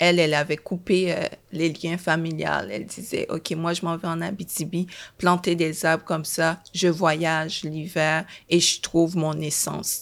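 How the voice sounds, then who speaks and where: A woman speaks with fairly low pitch at a fairly slow pace. Her intonation is monotone and flat. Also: very clean recording, silent background. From Haiti, raised in Montreal from age 11. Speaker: screenwriter. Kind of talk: testimony.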